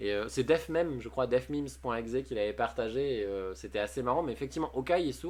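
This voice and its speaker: The background is quiet as a man delivers his words at a fairly quick pace. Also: hardly any pauses. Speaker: streamer. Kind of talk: live stream chat, reading chat messages. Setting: live stream. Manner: fast; casual, hesitant with many fillers.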